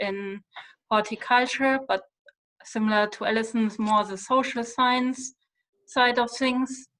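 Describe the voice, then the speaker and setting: A woman speaks with a German accent. Her intonation is fairly even. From Germany. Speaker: university lecturer. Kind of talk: self-introduction in online workshop.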